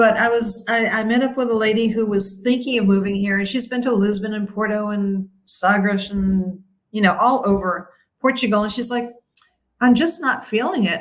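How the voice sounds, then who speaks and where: A woman talks in an American accent at a moderate pace. Her fairly high voice is somewhat breathy, with ordinary pitch variation. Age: 60s. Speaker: retired expat. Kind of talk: interview.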